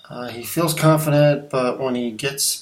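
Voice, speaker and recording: There is audible room echo and noticeable background noise. The speaker is a man. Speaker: graphic designer sharing career advice. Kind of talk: casual talking-head video. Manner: halting, many fillers and restarts.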